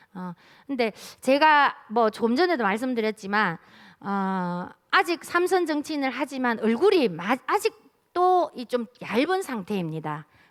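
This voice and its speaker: A woman with a Daegu accent, high-pitched with very wide pitch swings, at a very slow pace on a very clean recording with a silent background. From South Korea, Daegu. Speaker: city council member. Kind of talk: keynote speech at policy forum.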